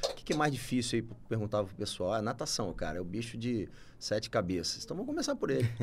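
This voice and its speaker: A man's very fast, somewhat breathy delivery at medium pitch, with lively intonation. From Campos, Rio de Janeiro state, Brazil. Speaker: doctor and entrepreneur. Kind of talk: podcast interview. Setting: studio.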